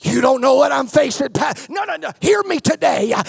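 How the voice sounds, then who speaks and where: A man shouting in an animated tone over noticeable background noise. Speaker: pastor. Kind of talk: sermon. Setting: church with live congregation, also streamed online. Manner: animated, fervent preaching with call-and-response; urgent, declarative, exhorting the congregation.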